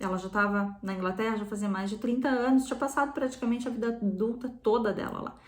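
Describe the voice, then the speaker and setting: A woman talks at a very fast pace and fairly high pitch with fairly even intonation, and audible room echo surrounds her. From southern Brazil (Rio Grande do Sul). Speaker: psychotherapist. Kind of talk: talk on psychology, guest on channel.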